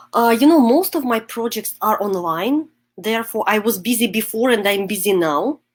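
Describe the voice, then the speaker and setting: In a Russian accent, a woman speaks at a moderate pace with lively intonation. Her pitch is fairly high. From Russia, Moscow. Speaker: psychotherapist and coach. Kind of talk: interview. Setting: video call. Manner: halting.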